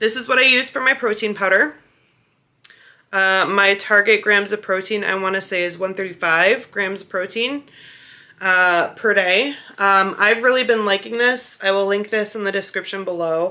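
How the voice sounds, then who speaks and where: A woman's voice comes through bright and sharp in tone, with ordinary pitch variation. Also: moderate pace. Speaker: vlogger. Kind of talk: casual vlog chat. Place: home room. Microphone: phone near.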